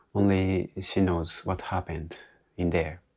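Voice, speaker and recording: A man speaks at a very deep, low pitch with monotone, flat intonation. The recording is very clean, with a silent background. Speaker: English learner vlogger. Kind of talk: solo monologue retelling a movie. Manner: halting, with self-corrections.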